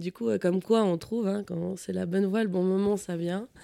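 Her tone dark and mellow, a woman talks at a moderate pace and medium pitch with fairly even intonation. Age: 30s. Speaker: office worker looking for a farmer partner. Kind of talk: personal testimony.

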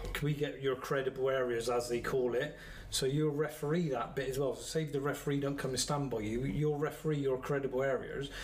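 With a West Country accent, a man talks at a fairly quick pace with hardly any pauses and fairly even intonation. His pitch is fairly high, and audible room echo surrounds the voice. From Somerset, England. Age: 50s. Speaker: football referee. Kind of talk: casual chat.

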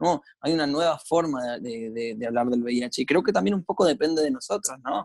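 A man with a Rioplatense accent, fairly high in pitch, at a moderate pace with hardly any pauses and lively intonation, in a dry, close sound with no echo. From Argentina, Buenos Aires. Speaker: lawyer and HIV activist. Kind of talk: podcast interview. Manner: halting, frequent repetitions and fillers.

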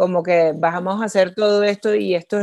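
A woman with a plain, everyday voice at a medium pitch speaks with fairly even intonation in a dry, close sound with no echo and a quiet background. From Venezuela. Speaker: social entrepreneur. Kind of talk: interview.

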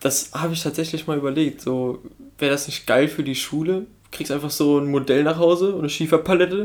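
A man's fairly high pitch, fairly even intonation and fairly quick pace, a normal speaking voice. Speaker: podcast co-host. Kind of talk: casual banter podcast.

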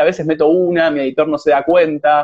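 Here a man speaks at a fairly quick pace. His pitch is fairly high. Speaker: host of a live conversation series. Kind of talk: casual interview chat. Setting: Instagram live stream. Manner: halting, many repetitions and fillers.

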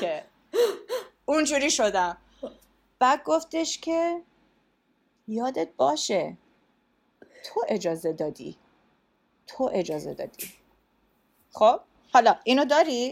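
The voice moves at a fairly slow pace with long, frequent pauses and very wide pitch swings. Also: woman. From US and Iran. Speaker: strategic communications leader. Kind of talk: casual chat.

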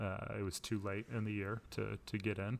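On a very clean recording with a silent background, a man talks in a fairly low, monotone voice with flat intonation and vocal fry. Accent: American. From Florida. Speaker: podcast co-host, college sports broadcast director. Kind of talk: casual chat.

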